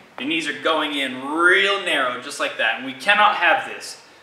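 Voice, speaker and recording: Over light background noise and audible room echo, a man speaks in a raised, projected voice with lively intonation. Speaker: fitness coach. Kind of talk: tutorial. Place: gym.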